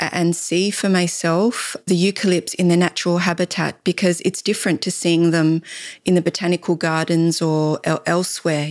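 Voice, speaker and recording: A woman with an Australian accent at a moderate pace, monotone and flat in intonation, in a dry, close sound with no echo on a very clean recording with a silent background. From Laos, raised in Australia. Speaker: natural dye artist and weaver. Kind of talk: casual interview. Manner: halting, frequent repetitions.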